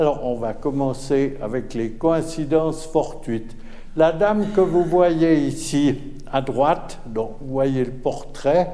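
A man speaks with a fairly high pitch and ordinary pitch variation, and audible room echo surrounds his voice. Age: old. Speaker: retired physics professor. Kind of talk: public lecture. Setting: stage with audience.

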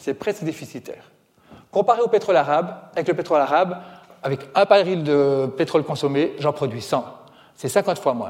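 This man has an animated tone, a fairly high pitch, ordinary pitch variation and a moderate pace. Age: 40s. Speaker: author and environmental speaker. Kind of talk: public lecture.

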